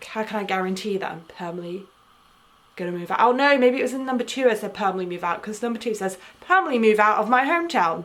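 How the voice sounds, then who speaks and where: Against noticeable background noise, a woman talks at a very fast pace with a fairly high pitch and lively intonation. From Essex, England. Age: 20s. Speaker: travel and language vlogger. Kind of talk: casual vlog monologue. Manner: rambling, filler-heavy.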